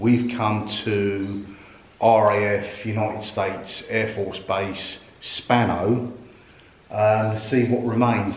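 Amid audible room echo, a man speaks fairly low in pitch with monotone, flat intonation. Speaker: urban explorer vlogger. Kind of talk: casual vlog chat. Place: empty room. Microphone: phone near.

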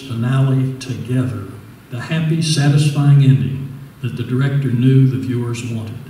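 At a moderate pace, a man talks within audible room echo. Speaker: resident reader. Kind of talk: reading an original essay aloud. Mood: wistful, gentle. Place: hall.

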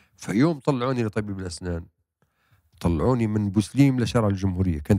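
A man's fairly low, dark, mellow voice at a fairly quick pace, with ordinary pitch variation, dry sound with no echo and a quiet background. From Libya, Bani Walid; Libya. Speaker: novelist and playwright; guest. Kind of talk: interview. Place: studio. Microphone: handheld.

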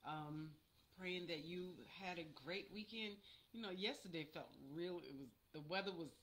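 A woman with a fairly low pitch speaks at a moderate pace. Light background noise can be heard. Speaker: church minister. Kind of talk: sermon. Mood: warm, gentle. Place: home room. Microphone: webcam.

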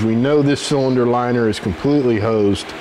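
Over noticeable background noise, a man speaks at a moderate pace. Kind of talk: tutorial. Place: garage.

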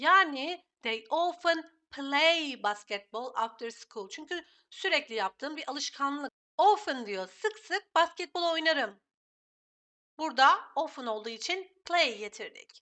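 Very slowly, a woman speaks in a high voice with very wide pitch swings and big swings in loudness. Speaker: English teacher. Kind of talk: tutorial.

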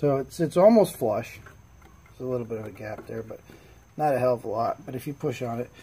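The speaker moves at a fairly quick pace. Light background noise sits under the voice. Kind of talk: casual tutorial. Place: workshop. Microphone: phone near.

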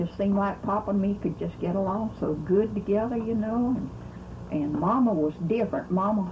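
Medium-pitched woman's voice with a Southern US accent, fairly quick pace, and noticeable background noise. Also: ordinary pitch variation. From US South, Mississippi. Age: 80s+. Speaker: elderly relative recounting family history. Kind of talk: oral history interview. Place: home room. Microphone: old recording.

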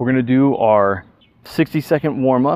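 The speaker is a man. He keeps to a moderate pace. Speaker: fitness instructor. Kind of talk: workout tutorial.

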